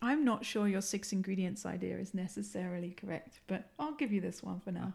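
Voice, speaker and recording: A woman speaks at a fairly quick pace in an English accent. Her medium-pitched voice has vocal fry. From England. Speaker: university professor and podcast host. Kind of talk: casual academic discussion.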